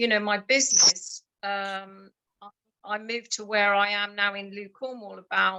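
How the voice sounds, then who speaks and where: A woman's medium-pitched voice at a moderate pace, flat and monotone in intonation but with big swings in loudness. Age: 60s. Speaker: coaching participant. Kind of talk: live coaching session. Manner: halting.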